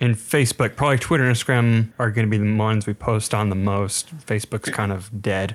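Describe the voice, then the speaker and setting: A man talks in a fairly low voice with fairly even intonation and hardly any pauses. The recording is very clean, with a silent background, and it's a normal speaking voice. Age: 20s. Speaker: podcast co-host. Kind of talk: casual chat.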